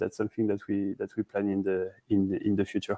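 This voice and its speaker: With a French accent, a man speaks in a dark, mellow tone at a fairly low pitch. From France, Paris. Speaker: startup CEO. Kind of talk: interview. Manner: halting, many fillers and repeats.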